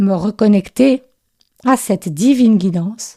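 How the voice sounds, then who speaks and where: A woman of medium pitch talks in a dark, mellow tone that is somewhat breathy, with ordinary pitch variation. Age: 60s. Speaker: spiritual podcaster and intuitive writing coach. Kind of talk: podcast monologue. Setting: voice note recording.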